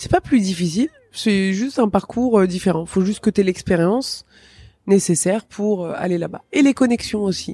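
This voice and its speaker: A woman with an ordinary speaking voice talks at a moderate pace, her pitch medium with ordinary variation. The sound is dry and close with no echo. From Tunisia. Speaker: stand-up comedian. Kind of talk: interview.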